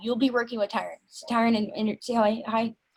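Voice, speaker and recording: A woman's fairly high voice at a fairly quick pace. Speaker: project lead on a developer team call. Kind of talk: casual work meeting. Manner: fast.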